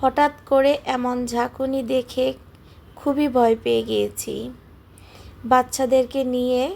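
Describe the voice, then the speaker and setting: Her voice sits high for a woman. She speaks in a flat, monotone way. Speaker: cooking vlogger. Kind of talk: vlog voice-over.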